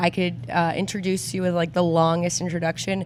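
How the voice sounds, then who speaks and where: With music in the background, a woman speaks in a fairly low pitch. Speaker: podcast host. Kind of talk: casual podcast interview.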